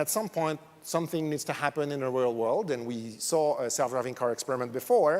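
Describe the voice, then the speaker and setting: A man with a French accent, fairly high in pitch, at a fairly quick pace. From France. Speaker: academic researcher, conference speaker. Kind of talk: conference talk. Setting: stage with audience.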